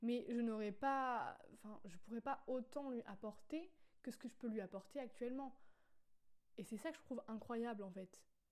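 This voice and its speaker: At a moderate pace, a woman uses a normal speaking voice, fairly high in pitch, with ordinary pitch variation. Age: 20s. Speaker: podcaster. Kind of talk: casual monologue. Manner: spontaneous, with fillers.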